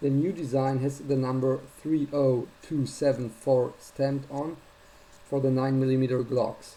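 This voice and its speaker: A man with a non-native accent, a dark, mellow tone, medium pitch, monotone, flat intonation and a fairly slow pace. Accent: heavy non-native. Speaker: gun owner sharing a fix. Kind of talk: first-person tutorial video. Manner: somewhat halting. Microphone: built-in notebook cam.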